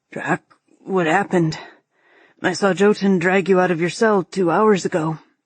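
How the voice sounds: A woman's raspy, hoarse put-on character voice at a medium pitch, moderate pace, fairly even intonation and long, frequent pauses, against a quiet background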